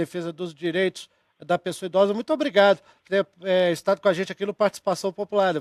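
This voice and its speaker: Delivered at a very fast pace with ordinary pitch variation and big swings in loudness, the voice has a dry, close sound with no echo. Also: man, high pitch for a man. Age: 30s. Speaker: TV host. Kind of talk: live TV debate hosting. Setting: TV studio.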